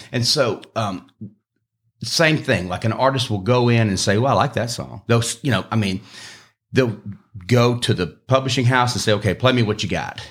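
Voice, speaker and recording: Using an Alabama accent, a man talks at a medium pitch and moderate pace, with ordinary pitch variation and long, frequent pauses. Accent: Southern US (Alabama). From US South, eastern Alabama (Opelika area). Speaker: singer-songwriter. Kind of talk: casual chat.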